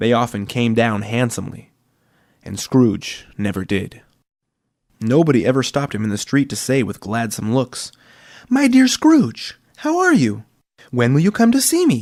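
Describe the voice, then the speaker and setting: At a moderate pace, a man speaks with long, frequent pauses on a very clean recording with a silent background. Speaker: aspiring voice actor. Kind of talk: audiobook narration.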